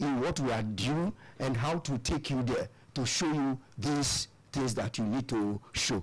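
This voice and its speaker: At a fairly slow pace, a man with a medium-pitched voice speaks with lively intonation. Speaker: spiritual devotee and musician. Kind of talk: radio interview. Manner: loud.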